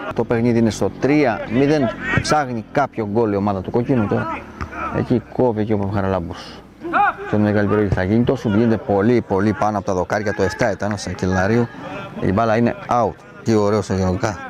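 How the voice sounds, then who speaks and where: At a fairly quick pace broken by long, frequent pauses, a man talks in a fairly low pitch. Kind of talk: live sports commentary. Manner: rapid-fire, excitable play-by-play, clipped and breathless; raises pitch and volume on goals, repeating the score.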